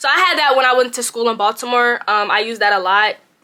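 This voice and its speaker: Delivery comes at a fairly quick pace. Intonation holds fairly even throughout. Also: woman. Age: 20s. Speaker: YouTuber. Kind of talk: casual chat. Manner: casual, halting.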